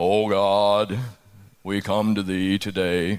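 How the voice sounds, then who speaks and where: A man puts on a character voice at a fairly low pitch, speaking at a very slow pace with monotone, flat intonation. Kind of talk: funeral tones. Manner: sorrowful, solemn.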